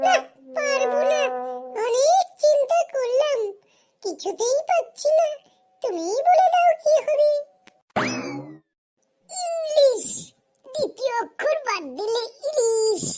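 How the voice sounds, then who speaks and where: A cartoonish character voice, squeaky and extremely high in pitch. It unfolds at a fairly slow pace. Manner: playful, teasing.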